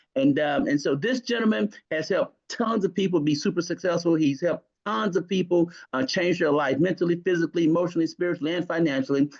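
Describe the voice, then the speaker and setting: A man's high voice at a very fast pace, with ordinary pitch variation and very even loudness. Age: 60s. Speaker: network marketing leader. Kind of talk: sales pitch. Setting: conference call. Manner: animated.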